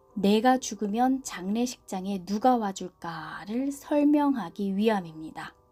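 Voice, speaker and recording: A woman with a calm tone and a fairly high pitch, very slow pace and ordinary pitch variation, with music in the background. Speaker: book reviewer and reader, audiobook/ASMR channel host. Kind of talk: book review and reading narration. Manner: soft, calm.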